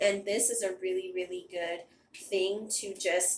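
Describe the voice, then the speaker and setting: With light background noise and audible room echo, a woman speaks at a fairly slow pace and medium pitch with fairly even intonation. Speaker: beauty vlogger. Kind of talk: casual product review. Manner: chatty. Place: bathroom. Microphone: phone near.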